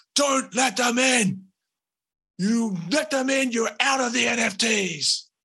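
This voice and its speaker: Shouting in a put-on character voice, the speaker goes at a fairly slow pace with a fairly high pitch. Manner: shouting commands, agitated.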